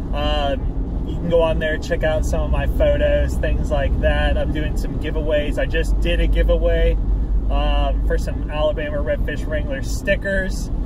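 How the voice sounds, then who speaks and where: A man's voice comes through dry with no echo. Loud background noise sits behind it. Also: moderate pace. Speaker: fishing vlogger. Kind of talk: casual vlog chat. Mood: cheerful, upbeat. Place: car. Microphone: phone near.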